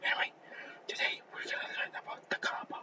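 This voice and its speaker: A man whispers against noticeable background noise. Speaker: student presenter. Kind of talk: class presentation. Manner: whispering; halting.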